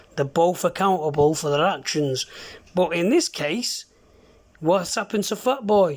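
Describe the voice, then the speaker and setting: On a very clean recording with a silent background, a man with a high pitch speaks at a moderate pace with ordinary pitch variation. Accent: strong Mancunian. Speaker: CB radio user. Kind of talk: heated argument over radio.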